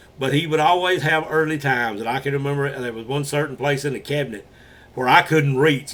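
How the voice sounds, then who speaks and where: A man with an Alabama accent talks at a fairly quick pace. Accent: Southern US (Alabama). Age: 60s. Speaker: paranormal channel host and storyteller. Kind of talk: casual storytelling. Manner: halting, frequent uh fillers.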